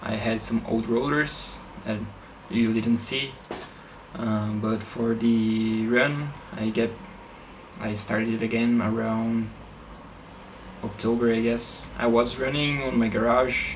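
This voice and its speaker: Very slow speech with monotone, flat intonation, long, frequent pauses, and noticeable background noise. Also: man, medium pitch for a man. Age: 20s. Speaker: triathlete and engineering student. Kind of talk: casual talk to camera.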